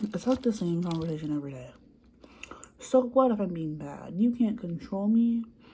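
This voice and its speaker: A soft-spoken, somewhat breathy woman's voice of medium pitch and dark, mellow tone, with lively intonation, big swings in loudness and a moderate pace. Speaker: childcare worker. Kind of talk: ASMR soft-spoken ramble to camera. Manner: soft-spoken, quiet.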